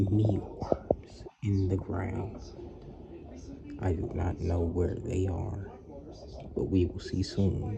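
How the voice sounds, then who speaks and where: Very slow whispered speech, broken by long, frequent pauses, with noticeable background noise. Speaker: pet video creator. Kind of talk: nature commentary. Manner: whispering.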